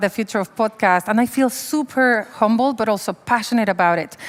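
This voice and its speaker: A woman's animated tone at a moderate pace, with ordinary pitch variation. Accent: strong Mexican. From Mexico. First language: Spanish. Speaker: humanitarian worker. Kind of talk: panel discussion.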